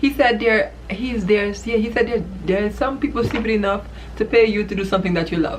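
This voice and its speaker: A woman speaks with a Trinidadian accent at a moderate pace. Background noise is noticeable. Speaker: volleyball player. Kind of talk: casual talk to camera.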